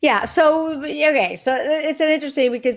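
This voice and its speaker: Speaking at a moderate pace in a Puerto Rican accent, a woman is heard in a very clean recording with a silent background. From Puerto Rico, Carolina. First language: Spanish. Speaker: comedian. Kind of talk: podcast interview. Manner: animated.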